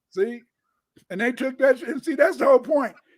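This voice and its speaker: A man speaks with an American accent. His tone is animated. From Chicago, US Midwest. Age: 70s. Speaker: historian. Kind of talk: casual chat.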